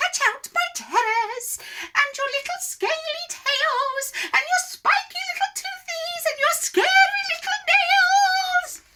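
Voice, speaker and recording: In a squeaky, put-on character voice pitched extremely high, the speaker goes at a fairly slow pace with hardly any pauses and very wide pitch swings. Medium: read story.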